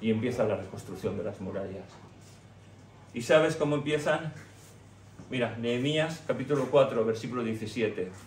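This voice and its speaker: A somewhat breathy man speaks at a medium pitch and a moderate pace with ordinary pitch variation. He leaves long, frequent pauses, and the room echo is audible. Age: 60s. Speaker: pastor. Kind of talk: sermon.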